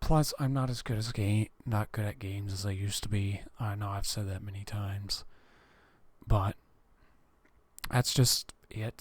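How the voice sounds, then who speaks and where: A man speaks fairly slowly in a somewhat breathy voice, leaving long, frequent pauses. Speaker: gaming vlogger. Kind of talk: casual vlog monologue. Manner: halting, many fillers.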